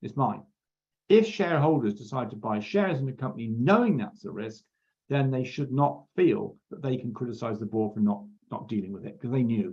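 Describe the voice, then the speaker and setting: Delivered at a fairly quick pace, the voice has lively intonation, vocal fry and big swings in loudness. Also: man, medium pitch for a man. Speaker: accounting exam tutor. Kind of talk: lecture.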